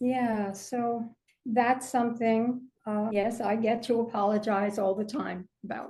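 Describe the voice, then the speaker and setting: A woman's fairly high, somewhat breathy voice, dark and mellow in tone, with monotone, flat intonation at a fairly slow pace. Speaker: author and mental health advocate. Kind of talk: interview. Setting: podcast. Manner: halting.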